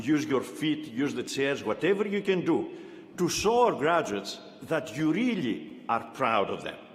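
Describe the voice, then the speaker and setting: Here a man with a non-native accent talks at a fairly slow pace in a fairly high voice, making very wide pitch swings amid audible room echo. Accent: foreign. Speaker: university chancellor. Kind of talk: commencement speech. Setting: arena with audience.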